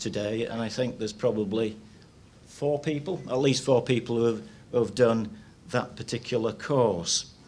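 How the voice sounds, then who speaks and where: Audible room echo surrounds a man talking at a moderate pace. His intonation stays fairly even. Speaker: retired meat science lecturer. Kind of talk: seminar presentation. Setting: stage with audience. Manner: halting, many repetitions.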